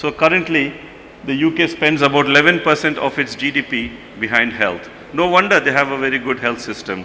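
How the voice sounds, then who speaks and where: Amid noticeable background noise, a man speaks at a fairly high pitch and a fairly quick pace. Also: ordinary pitch variation. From India. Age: 50s. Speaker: pediatric surgeon. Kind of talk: conference lecture.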